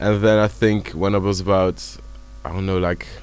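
This man speaks with a Flemish accent. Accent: Flemish Dutch-accented English. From Belgium (Dutch-speaking Flanders). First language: Dutch. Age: 20s. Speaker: music producer. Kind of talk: casual chat. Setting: video call.

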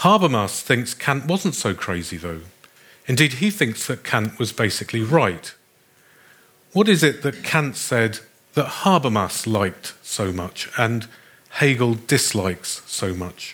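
Speaking at a fairly slow pace, a man with a medium pitch moves through very wide pitch swings. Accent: British. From Britain. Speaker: philosophy professor. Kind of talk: lecture.

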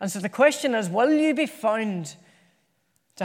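This man talks at a high pitch with an Irish accent, at a moderate pace. The recording is very clean, with a silent background. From Ireland. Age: 30s. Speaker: preacher. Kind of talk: sermon. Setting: church.

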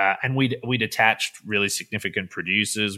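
In an Australian accent, a man talks very fast with a bright, sharp tone and fairly even intonation, recorded dry and close with no echo on a very clean track with a silent background. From Western Australia (Perth). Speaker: film director. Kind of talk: casual interview chat.

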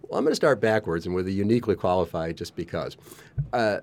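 The man's voice sits very deep and low, with ordinary pitch variation. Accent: American. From US, Colorado. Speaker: neurodiversity communication specialist. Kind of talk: casual chat. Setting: studio.

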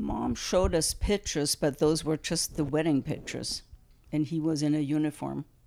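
A woman's very deep, low voice with a dark, mellow tone and a German accent, at a moderate pace with fairly even intonation. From Germany. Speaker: grandmother. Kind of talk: family interview. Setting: at home.

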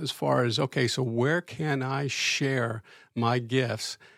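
A somewhat breathy male voice, dry and close with no echo, on a very clean recording with a silent background. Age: 60s. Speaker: church teacher, retired. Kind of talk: casual chat. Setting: studio. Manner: halting.

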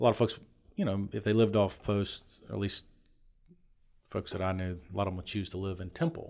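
A fairly quick delivery with an American accent, long, frequent pauses, ordinary pitch variation, and a very clean recording against a silent background. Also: man, fairly low pitch for a man. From Shreveport, Louisiana. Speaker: Army veteran. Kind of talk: casual chat. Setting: studio.

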